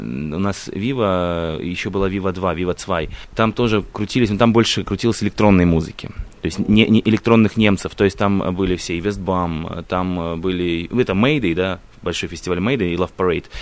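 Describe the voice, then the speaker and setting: At a moderate pace, a man speaks with a very deep, low pitch and ordinary variation in it. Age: 20s. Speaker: radio host. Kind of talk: casual chat. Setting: open-air balcony.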